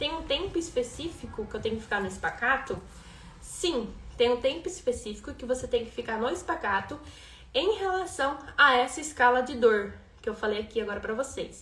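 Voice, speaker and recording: A woman talks at a fairly quick pace in a high voice, her pitch swinging very widely. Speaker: rhythmic gymnastics coach. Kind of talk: live-stream class. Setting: Instagram live stream.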